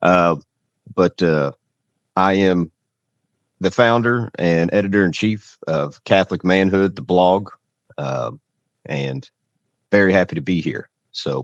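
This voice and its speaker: A man with a Kentucky accent and a very deep, low pitch speaks at a fairly slow pace with long, frequent pauses, in a dry, close sound with no echo. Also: ordinary pitch variation. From Louisville, Kentucky. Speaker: blogger, panel guest. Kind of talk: casual panel discussion.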